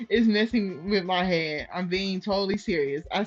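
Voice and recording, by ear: A natural voice is heard reading aloud.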